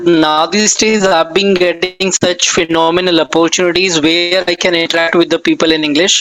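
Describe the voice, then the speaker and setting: Against noticeable background noise, a man with a high pitch speaks at a moderate pace. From northern India, NCR region. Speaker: English conversation tutor. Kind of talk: casual chat.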